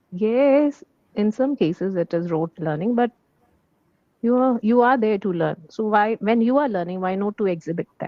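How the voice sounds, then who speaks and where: At a moderate pace, a woman with a fairly high pitch and lively intonation speaks in a plain, everyday voice. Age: 40s. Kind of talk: casual chat.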